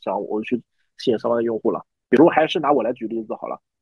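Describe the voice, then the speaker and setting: A man speaks at a very fast pace. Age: 30s. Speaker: new media manager. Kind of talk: interview.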